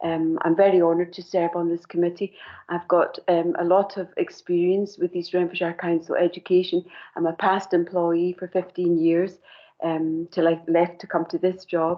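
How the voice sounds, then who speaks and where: The speaker has a Scottish accent and a moderate pace. The intonation is monotone and flat. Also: woman, fairly low pitch for a woman. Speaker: committee member, charity administrator. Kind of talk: self-introduction at council meeting.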